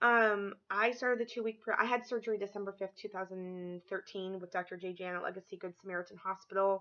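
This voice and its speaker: Speaking at a very fast pace, a woman keeps a medium pitch in a monotone, flat intonation. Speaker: weight loss vlogger. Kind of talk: casual vlog update. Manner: halting, many fillers.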